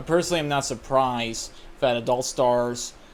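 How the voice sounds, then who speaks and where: A man is speaking at a medium pitch. His pitch varies in an ordinary way. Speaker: commentary YouTuber. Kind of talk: political commentary video. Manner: casual, conversational; halting, pauses and stutters in unscripted part.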